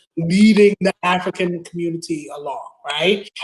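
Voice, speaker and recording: A strong Brooklyn accent at a moderate pace. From Brooklyn, New York (Bed-Stuy). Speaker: attorney, community advocate. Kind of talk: interview on live online talk show. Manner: repetitive, stumbling restarts.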